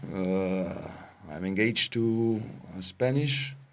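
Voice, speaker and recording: Speech at a very slow pace with ordinary pitch variation carries audible room echo. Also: man. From Germany. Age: 40s. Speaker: interviewee, expatriate resident. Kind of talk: interview. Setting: studio. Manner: halting, many fillers.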